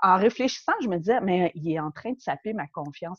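Lively in intonation, a woman with a normal speaking voice and a fairly low pitch talks at a moderate pace in a dry, close sound with no echo. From Quebec, Montreal. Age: 40s. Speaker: podcast guest sharing life story. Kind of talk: personal testimony interview. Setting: remote interview.

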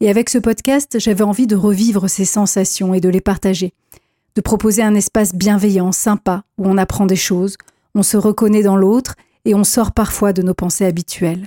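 In a dry, close sound with no echo, a woman with a dark, mellow tone and medium pitch talks at a moderate pace with fairly even intonation. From French provinces. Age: 40s. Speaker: podcast host and film director. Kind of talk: personal monologue.

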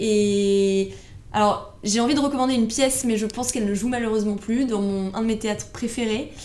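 Amid noticeable background noise and audible room echo, a woman talks at a fairly quick pace with fairly even intonation. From Paris, France. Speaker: financial advisor. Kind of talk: interview.

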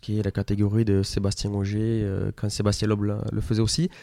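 Dark and mellow in tone, a man's voice comes through on a very clean recording against a silent background. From southern France, Tarn (Mazamet). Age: 20s. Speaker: rally driver. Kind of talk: radio interview.

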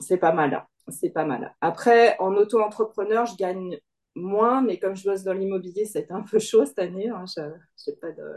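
Speaking at a moderate pace and a medium pitch, a woman uses ordinary pitch variation, with big swings in loudness. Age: 50s. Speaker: coaching client, part-time employee and self-employed. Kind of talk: interview testimony. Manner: hesitant, many fillers and repetitions.

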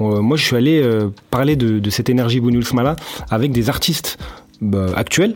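The speaker talks at a fairly quick pace with ordinary pitch variation. Noticeable background noise runs under the voice. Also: man. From Lyon, France. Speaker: podcast host. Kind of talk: casual chat.

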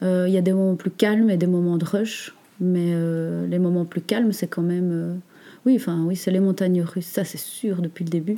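Over a silent background in a very clean recording, a woman speaks at a moderate pace with a dark, mellow tone, fairly low pitch and fairly even intonation. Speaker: natural cosmetics entrepreneur. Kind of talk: interview. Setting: meeting room next to workshop. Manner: calm, gentle; halting, many hesitations.

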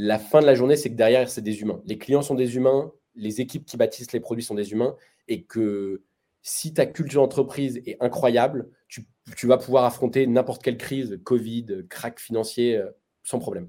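A man speaks in a medium pitch with a dark, mellow tone and fairly even intonation. His pace is moderate, with big swings in loudness. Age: 20s. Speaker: entrepreneur. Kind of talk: interview.

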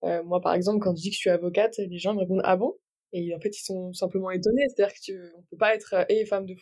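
A woman with a medium pitch and a dark, mellow tone talks at a very fast pace with fairly even intonation. Her loudness swings widely. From Brittany, near Brest. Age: 20s. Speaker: lawyer. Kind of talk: interview.

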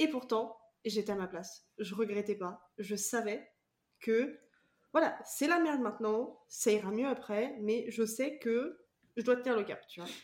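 A woman's plain, everyday voice, fairly high in pitch with ordinary pitch variation, big swings in loudness and a fairly slow pace. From France, Vendée. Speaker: podcast host. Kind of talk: casual interview chat.

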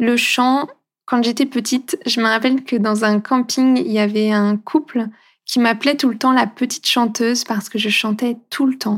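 On a very clean recording with a silent background, a woman with a high pitch speaks at a moderate pace, her loudness very even and her intonation fairly even. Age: 30s. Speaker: holistic coach and podcast host. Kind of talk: casual monologue. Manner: warm, gentle.

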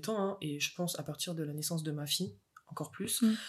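Talking at a fairly quick pace, a woman with a plain, everyday voice keeps a fairly low pitch with ordinary variation. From France, Moselle. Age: 20s. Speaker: mother and artist. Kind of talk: casual interview chat.

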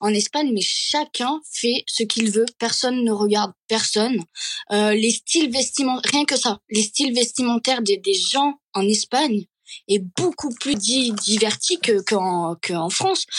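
Recorded with a dry, close sound and no echo, a woman speaks fairly slowly at a fairly high pitch with lively intonation. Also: very even loudness. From Catalonia. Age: 20s. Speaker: social media creator. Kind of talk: interview. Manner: halting.

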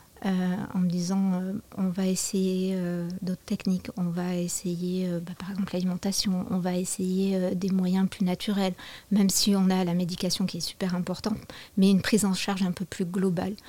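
A somewhat breathy woman's voice of medium pitch with a dark, mellow tone, monotone, flat intonation and a moderate pace. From southwestern France. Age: 40s. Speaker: yoga teacher. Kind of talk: testimony.

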